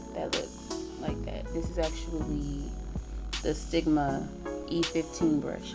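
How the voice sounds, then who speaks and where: A woman at a fairly slow pace, with music in the background and audible room echo. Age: 20s. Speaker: beauty vlogger. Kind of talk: tutorial. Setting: home. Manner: casual, with filler words.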